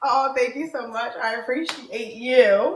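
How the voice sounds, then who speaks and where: A woman's high-pitched, animated voice at a fairly slow pace, with ordinary pitch variation and audible room echo. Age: 30s. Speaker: dating show host. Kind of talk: casual chat.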